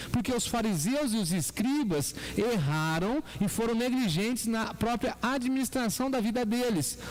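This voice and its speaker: Through noticeable background noise and audible room echo, a voice in a São Paulo interior accent talks at a fairly slow pace with lively intonation, very even loudness and hardly any pauses. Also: man, extremely high pitch for a man. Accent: caipira (interior São Paulo). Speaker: pastor. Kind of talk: sermon.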